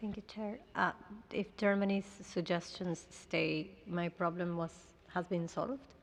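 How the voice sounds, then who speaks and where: A woman with a Spanish accent speaks fairly slowly at a medium pitch, her intonation fairly even. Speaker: country delegate. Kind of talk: formal plenary negotiation.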